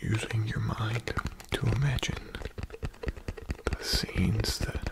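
A man whispering in a gentle tone over loud background noise. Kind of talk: soft guided relaxation talk. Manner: gentle, slow whisper for sleep. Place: home room. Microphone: studio mic.

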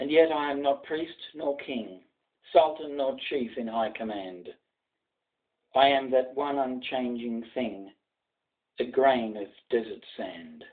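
An Australian accent from a man, very slow pace, long, frequent pauses, quiet background. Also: ordinary pitch variation. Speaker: journalist. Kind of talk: poetry reading. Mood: solemn, commemorative. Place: home room. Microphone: webcam.

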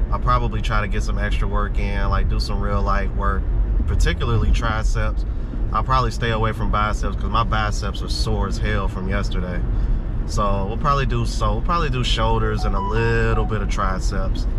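Loud background noise surrounds a man. He talks at a fairly quick pace. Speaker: vlogger. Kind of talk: casual vlog chat. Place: car.

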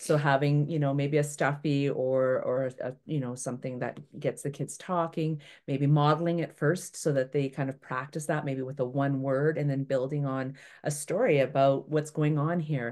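Against a quiet background, a woman with a Canadian accent talks with hardly any pauses in a very deep, low, monotone and flat voice. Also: moderate pace. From Toronto, Canada. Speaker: environmental educator. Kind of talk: online workshop presentation. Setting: video call webinar. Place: home room. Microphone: webcam.

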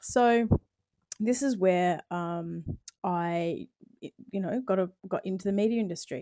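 With an Australian accent, the speaker talks at a fairly slow pace, leaving long, frequent pauses, with ordinary pitch variation. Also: woman, medium pitch for a woman. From Australia, South Australia. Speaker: video production coach. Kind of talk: webinar presentation. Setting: live online webinar.

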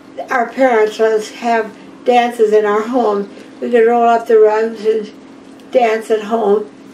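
A woman speaks fairly slowly at a fairly high pitch in a flat monotone. Light background noise is present. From US Midwest, Iowa. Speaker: oral history interviewee; interviewee. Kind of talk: oral history interview. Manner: halting. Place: home room.

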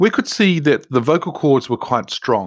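Heard on a very clean recording with a silent background, a man talks in a normal speaking voice with ordinary pitch variation at a moderate pace. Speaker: podcast host. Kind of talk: podcast monologue.

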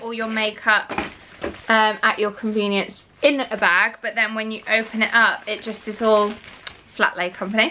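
Over light background noise, a woman with a northern English accent talks at a moderate pace in a fairly high pitch. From northern England, near Manchester. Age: 20s. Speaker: lifestyle vlogger. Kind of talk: vlog narration. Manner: chatty, casual. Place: home room. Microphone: phone near.

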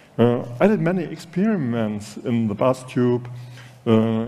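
A man speaks with a German accent. His tone is dark and mellow. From Germany. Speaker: design director moderating a talk; conference speaker, panelist. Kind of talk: stage moderation. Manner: halting. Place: hall. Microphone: podium.

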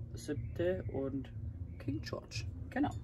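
The speech comes at a very slow pace over light background noise. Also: man. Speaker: travel vlogger. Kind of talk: casual vlog chat. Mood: relaxed, cheerful evening chat. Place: car.

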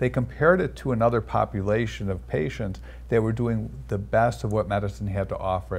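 A man's fairly low voice with vocal fry, very wide pitch swings and a very fast pace. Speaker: cardiologist. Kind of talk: interview. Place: studio. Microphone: lapel.

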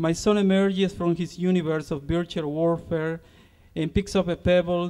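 A man with a Spanish accent, high pitch and fairly even intonation at a moderate pace, over a quiet background. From Honduras. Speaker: poet and university lecturer. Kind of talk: poem reading, solemn and measured, to concert audience. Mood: calm, reflective. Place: street.

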